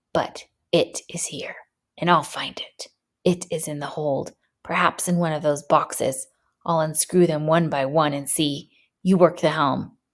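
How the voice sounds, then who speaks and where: A hoarse, put-on character voice at middle pitch. It moves at a moderate pace. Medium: read story. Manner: hoarse, haunted, feverish.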